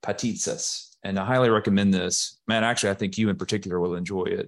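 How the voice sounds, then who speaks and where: A man talks with an Alabama accent at a fairly low pitch. His intonation is fairly even, and the background is quiet. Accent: Southern US (Alabama). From US South (Alabama, Birmingham area). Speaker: software executive. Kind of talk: casual interview.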